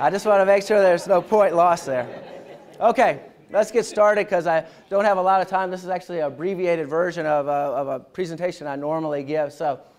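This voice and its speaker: Talking at a very fast pace, a man with a Southern US accent uses a high pitch, an animated tone and ordinary pitch variation. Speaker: military history lecturer. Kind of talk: lecture. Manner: casual, conversational.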